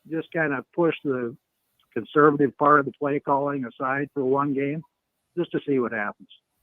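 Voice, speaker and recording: Pitched fairly high, a man's voice is heard. He speaks at a fairly slow pace. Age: 60s. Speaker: caller, football fan. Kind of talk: call-in conversation. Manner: halting, many fillers.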